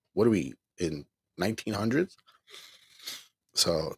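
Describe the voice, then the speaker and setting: A man at a moderate pace, dry and close with no echo. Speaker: online minister and caregiver. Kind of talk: live stream casual talk. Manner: animated.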